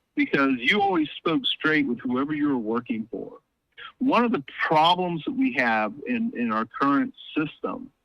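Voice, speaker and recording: A man speaks at a moderate pace with an American accent and a bright, sharp tone. His pitch swings very widely, and the sound is dry and close with no echo. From US South. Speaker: political commentator, academic. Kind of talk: casual chat. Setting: phone call.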